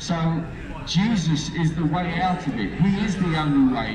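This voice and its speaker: Fairly high-pitched male voice, fairly slow and fairly even in intonation, with noticeable background noise. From Lincolnshire, eastern England. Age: 30s. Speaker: street preacher. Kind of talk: testimony. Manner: halting. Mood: earnest, fervent. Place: street. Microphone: handheld.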